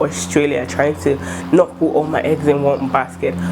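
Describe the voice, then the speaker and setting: There is noticeable background noise as a woman talks at a fairly quick pace. Her pitch is very deep and low. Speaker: student vlogger. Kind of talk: casual vlog talk. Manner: fast; animated.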